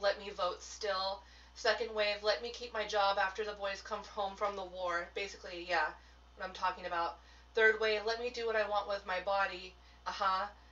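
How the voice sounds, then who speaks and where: Her delivery has monotone, flat intonation. The woman keeps to a moderate pace. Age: 30s. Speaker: tarot business mentor and witchcraft teacher. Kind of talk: live stream talk to viewers. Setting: solo live video stream. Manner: casual, chatty. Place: home room.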